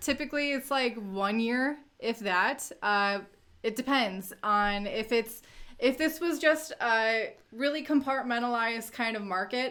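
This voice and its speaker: A woman's high, bright and sharp voice at a fairly slow pace, with ordinary pitch variation. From US Midwest, Northwest Indiana. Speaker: crypto YouTuber. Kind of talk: livestream Q&A. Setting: livestream.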